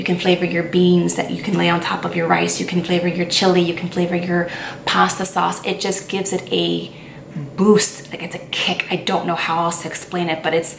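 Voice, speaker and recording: Fairly quick and monotone, a woman speaks with flat intonation at a fairly low pitch. Audible room echo and noticeable background noise fill the recording. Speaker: lifestyle vlogger. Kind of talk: casual chat. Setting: on camera, home video. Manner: stuttering at times.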